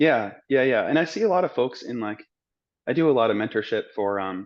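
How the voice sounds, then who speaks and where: Here a man speaks with an American accent in an ordinary speaking voice at a medium pitch. His pace is fairly quick and his intonation lively. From Arizona, Scottsdale. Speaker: medical student. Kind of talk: interview. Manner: casual.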